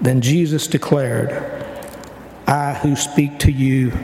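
Noticeable background noise sits under a man's fairly high voice, delivered in a flat monotone. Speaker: church member. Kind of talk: reading aloud. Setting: church.

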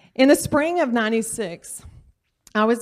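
A woman with a Louisiana accent on a very clean recording against a silent background. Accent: Southern US (Louisiana). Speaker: surgical technologist and church volunteer. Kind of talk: personal testimony talk. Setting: church class with audience.

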